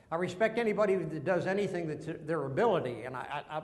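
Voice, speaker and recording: Very fast, high-pitched male speech in a Texas accent, ordinary pitch variation, audible room echo and noticeable background noise. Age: 70s. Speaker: veteran and businessman sharing faith story. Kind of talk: testimony.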